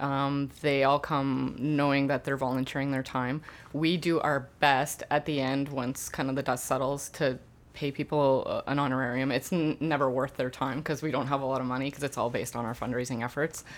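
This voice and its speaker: Monotone, flat intonation at a moderate pace, in a Canadian Prairies accent. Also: woman, very deep, low pitch for a woman. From Canada, Winnipeg. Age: 30s. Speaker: community music nonprofit founder. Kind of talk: interview. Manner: hesitant, many fillers.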